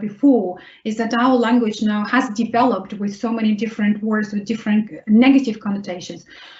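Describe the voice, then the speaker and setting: A woman with a Russian accent speaks quite quickly at a fairly high pitch, keeping her intonation fairly even. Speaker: vocational rehabilitation consultant. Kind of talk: webinar Q&A answer.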